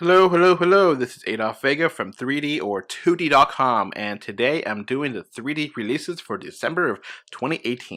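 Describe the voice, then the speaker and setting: A man with a fairly high, bright, sharp voice speaks fairly quickly with hardly any pauses on a very clean recording with a silent background. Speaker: podcast host. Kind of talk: casual podcast monologue. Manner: casual, filler-heavy.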